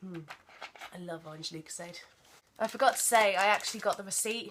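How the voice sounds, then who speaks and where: A woman with an English accent speaks at a fairly quick pace, her pitch varying in an ordinary way. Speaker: vlogger. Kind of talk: casual vlog haul.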